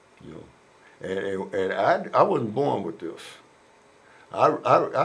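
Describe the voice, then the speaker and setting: A man speaks at a moderate pace. Room echo can be heard in the recording. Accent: American. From Oakland, California. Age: 70s. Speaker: former prisoner. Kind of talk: interview. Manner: halting, repeats words.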